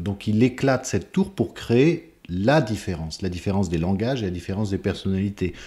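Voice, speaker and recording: A man's dark, mellow voice with lively intonation at a moderate pace, on a very clean recording with a silent background. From France, Tours. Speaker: conductor and composer. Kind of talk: interview.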